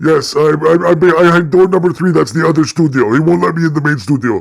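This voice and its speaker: In a put-on character voice, the speaker races along at a very fast pace, loudness very even and pitch varying in an ordinary way. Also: man, fairly high pitch for a man. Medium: game stream. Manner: playful, joking.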